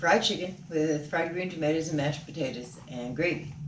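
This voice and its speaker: A woman speaks at a very deep, low pitch and a fairly quick pace, with fairly even intonation. Light background noise and audible room echo surround her voice. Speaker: vlogger's mother. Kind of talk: casual vlog chat. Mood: wry, mildly critical food review. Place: home room.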